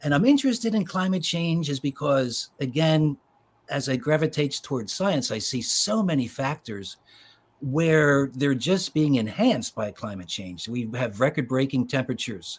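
Somewhat breathy and with an American accent, the voice moves at a moderate pace with lively intonation on a very clean recording with a silent background. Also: man, fairly high pitch for a man. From Philadelphia suburbs, US. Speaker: children's author. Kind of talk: interview conversation.

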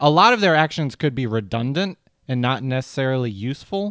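This man has an ordinary speaking voice, fairly high in pitch, talking at a moderate pace with lively intonation. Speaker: podcast host. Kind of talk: casual comedy podcast chat.

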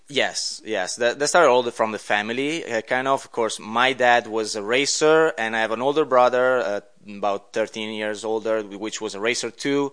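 With an Italian accent, a man of medium pitch talks at a moderate pace with ordinary pitch variation and hardly any pauses. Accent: Italian accent, noticeable. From Italy. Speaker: podcast guest, racing background. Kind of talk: interview. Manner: halting, many fillers.

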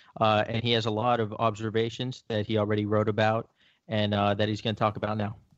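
Over a quiet background, a man with an American accent talks at a very fast pace. His fairly low voice stays monotone and flat. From South Florida. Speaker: sports podcast co-host and editor. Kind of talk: casual chat.

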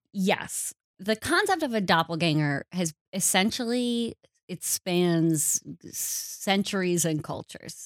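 A woman with an American accent speaks at medium pitch and a very slow pace. The recording is very clean and dry, with a silent background and a close sound with no echo. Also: ordinary pitch variation. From Wisconsin. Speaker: podcast co-host. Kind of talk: casual chat.

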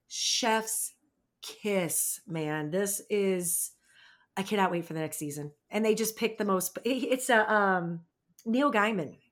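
Speech moves at a very slow pace. The pitch shows ordinary variation. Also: woman, medium pitch for a woman. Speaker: podcast co-host. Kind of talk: casual chat.

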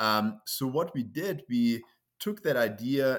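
A man with a German accent. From Germany. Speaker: entrepreneur. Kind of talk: casual interview.

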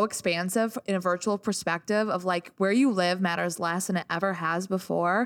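With an American accent and an ordinary speaking voice, a woman talks at a moderate pace in a medium pitch with ordinary pitch variation on a very clean recording with a silent background. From US Midwest, small-town Illinois. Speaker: DJ. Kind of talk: casual chat.

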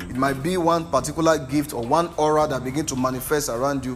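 This man speaks at a very fast pace, his pitch fairly high with ordinary variation. Music plays in the background. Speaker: preacher. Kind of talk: sermon. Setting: church with live congregation. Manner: animated, rhetorical, call-and-response with the congregation; emphatic, repeating lines for effect.

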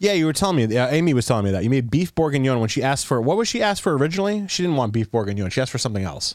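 A medium-pitched man rushes along at a very fast pace with very wide pitch swings, very even loudness, and hardly any pauses. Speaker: podcast host. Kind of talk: casual chat. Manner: rambling, filler-heavy.

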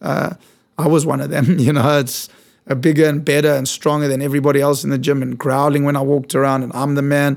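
A man with a South African accent, fairly high in pitch, talking at a very fast pace in a monotone, flat intonation. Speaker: fitness studio founder. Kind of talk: casual interview chat. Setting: studio.

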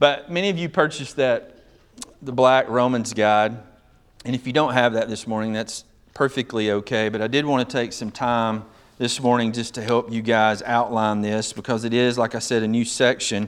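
At a moderate pace and medium pitch, a man talks with fairly even intonation in an ordinary speaking voice. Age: 50s. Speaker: pastor. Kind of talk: sermon. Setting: church.

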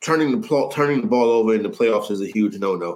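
With a New York accent, a man is talking. His pace is fairly quick. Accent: New York City. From New York City (Harlem). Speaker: sports betting analyst. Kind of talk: casual chat.

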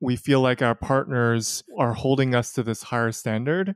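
A man with an American accent and an ordinary speaking voice talks at a moderate pace, his pitch medium. Intonation is fairly even, and the sound is dry and close with no echo. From New York. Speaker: guest sharing personal experience with erectile dysfunction. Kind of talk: candid interview.

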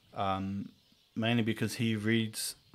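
This is a man speaking. He talks with a New Zealand accent. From New Zealand, Whangarei. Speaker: podcast host. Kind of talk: casual chat.

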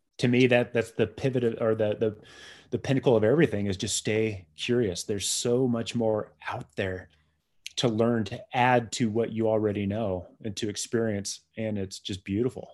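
A man with an American accent talks at a moderate pace in a medium pitch, with fairly even intonation and a normal speaking voice. The background is quiet. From San Diego, California. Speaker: beer writer and educator. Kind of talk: casual interview.

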